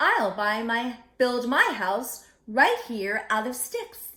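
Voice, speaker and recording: A woman puts on a character voice, fairly high in pitch, and speaks at a very slow pace. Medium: read story.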